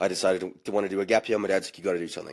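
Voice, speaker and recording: A man with a South African accent is heard in a very clean recording over a silent background. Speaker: bartender. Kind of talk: casual chat.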